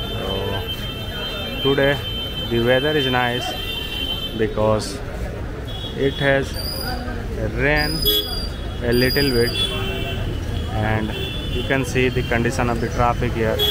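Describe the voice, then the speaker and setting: A man talks at a very slow pace, with long, frequent pauses. The sound is dry with no echo, though loud background noise is present. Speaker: walking tour guide. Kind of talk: casual vlog narration. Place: street. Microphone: phone near.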